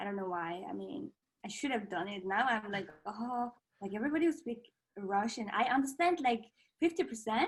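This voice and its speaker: Somewhat breathy, a woman in a Mongolian accent speaks at a fairly high pitch with very wide pitch swings. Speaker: contortionist. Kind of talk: casual chat. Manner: halting, frequent fillers.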